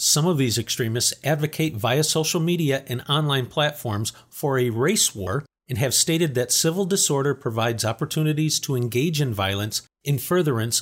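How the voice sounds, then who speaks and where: A somewhat breathy man speaks with lively intonation, very even loudness and hardly any pauses. The recording is very clean, with a silent background. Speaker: news update presenter. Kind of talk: formal news reading of a scripted security briefing. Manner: formal; measured, even-paced, neutral newsreader delivery.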